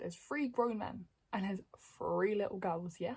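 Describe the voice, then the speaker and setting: A woman's somewhat breathy voice, dark and mellow in tone, at a medium pitch. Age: 20s. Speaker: YouTuber. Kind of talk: storytime monologue. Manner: fast; stutters.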